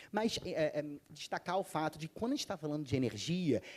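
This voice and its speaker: A man's fairly high voice with a Rio de Janeiro accent. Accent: carioca. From Rio de Janeiro, Brazil. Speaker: panel speaker on sustainability. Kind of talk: conference panel talk.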